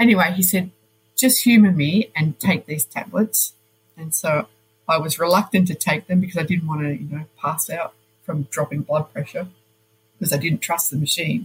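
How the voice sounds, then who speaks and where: A woman with an Australian accent speaks at a moderate pace, her pitch fairly low. Her pitch varies in an ordinary way, and the sound is dry and close with no echo. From Australia, Melbourne. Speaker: nurse. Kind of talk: interview.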